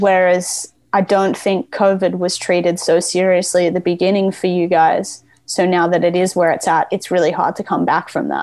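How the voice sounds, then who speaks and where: A woman speaks at a moderate pace in an Australian accent. Her medium pitch stays monotone, with flat intonation. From Australia, Gold Coast, Queensland. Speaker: skateboarder. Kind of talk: casual chat. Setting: video call.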